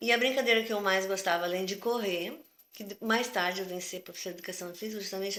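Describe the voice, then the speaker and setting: At a very fast pace, a woman talks at medium pitch with big swings in loudness. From southern Brazil, Porto Alegre. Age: 60s. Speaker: retired physical education teacher. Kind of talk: interview. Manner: conversational, hesitant.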